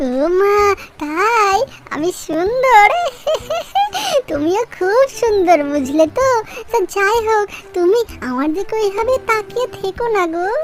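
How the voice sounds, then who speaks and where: In a cartoonish character voice, a woman talks fairly slowly at an extremely high pitch over clear background noise. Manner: cheeky, boastful.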